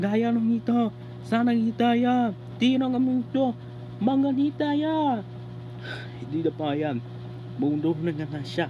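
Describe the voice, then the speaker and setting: A put-on character voice with a fairly high pitch goes at a fairly slow pace. Long, frequent pauses break it up, and background noise is clearly heard. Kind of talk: comic overacting. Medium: fan dub. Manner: loud, emphatic.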